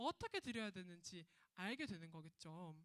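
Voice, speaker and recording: The tone is animated. Pitch swings very widely. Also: woman. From Gyeongsang region, South Korea. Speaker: children's ministry preacher. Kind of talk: sermon for children.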